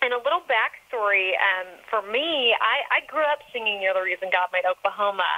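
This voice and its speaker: The speaker has an American accent and lively intonation, moving at a fairly quick pace with hardly any pauses. Loudness stays very even despite noticeable background noise. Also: woman, fairly high pitch for a woman. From Texas. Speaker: country singer. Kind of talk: interview. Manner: animated.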